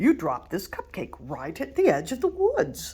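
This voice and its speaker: A woman performs a put-on character voice. She speaks at a moderate pace. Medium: read story. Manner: gentle, friendly.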